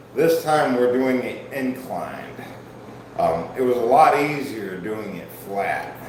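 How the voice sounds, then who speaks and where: Amid audible room echo and noticeable background noise, a man with a Midwestern US accent speaks at a very slow pace. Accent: US Midwest. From Ohio. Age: 40s. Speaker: fitness streamer. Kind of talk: livestream workout chat. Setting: live stream. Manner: casual.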